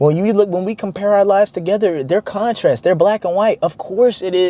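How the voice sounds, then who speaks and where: Through noticeable background noise, a man with an American accent speaks in an animated tone. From US South, Arkansas. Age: 20s. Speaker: motivational vlogger. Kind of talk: motivational monologue. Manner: casual, animated.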